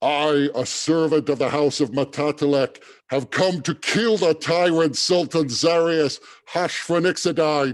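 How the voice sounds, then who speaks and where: A man shouts in a booming, put-on character voice at a fairly high pitch. His pace is fairly slow. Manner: shouting, declaring.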